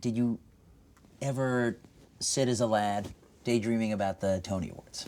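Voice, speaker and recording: With an American accent, a man speaks at medium pitch and a moderate pace. His intonation is fairly even, with long, frequent pauses. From New York City. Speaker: talk show host. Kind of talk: scripted narration; casual chat. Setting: basement of a bar. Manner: soft-spoken.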